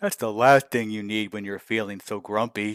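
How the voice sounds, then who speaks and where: Someone is doing a put-on character voice. The tempo is neither fast nor slow. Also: man. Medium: read story. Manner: friendly, chatty.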